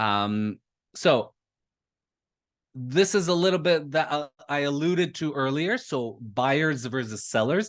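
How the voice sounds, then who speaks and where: A man with a Canadian accent has an ordinary speaking voice and lively intonation. He speaks at a fairly slow pace against a quiet background. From Canada, Toronto. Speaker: lead generation marketer. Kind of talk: webinar presentation.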